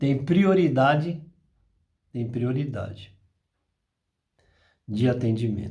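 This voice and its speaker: Speaking at a very slow pace, a man with a medium pitch sounds somewhat breathy, with audible room echo around him. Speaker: spiritist apometry channel host. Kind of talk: spiritual talk. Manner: slower than usual today.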